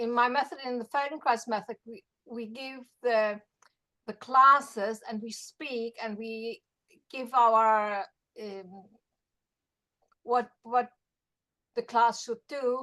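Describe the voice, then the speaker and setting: Very slow, with long, frequent pauses, a woman with a slight German accent speaks in a bright, sharp tone at a fairly high pitch, her intonation fairly even but her loudness swinging widely. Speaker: Feldenkrais practitioner. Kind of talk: workshop discussion.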